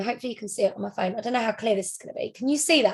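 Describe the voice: A woman speaks with lively intonation and a slightly husky edge.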